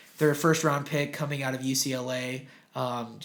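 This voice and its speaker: A man's medium-pitched voice, monotone and flat, with audible room echo. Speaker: sports podcast co-host. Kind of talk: casual chat.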